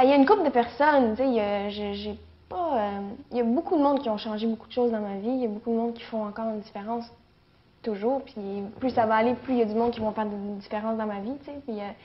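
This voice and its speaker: With a Quebec accent, a woman talks at a very fast pace in a fairly high pitch, with ordinary pitch variation and big swings in loudness. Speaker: actress. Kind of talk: interview. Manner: halting, many fillers.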